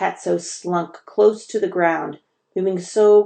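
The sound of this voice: This is an unforced reading voice. The background stays quiet.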